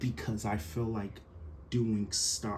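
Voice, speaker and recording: A somewhat breathy man talks at a fairly slow pace, with audible room echo. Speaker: action figure YouTuber. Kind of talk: casual vlog monologue. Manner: stuttering; repeats words, halting.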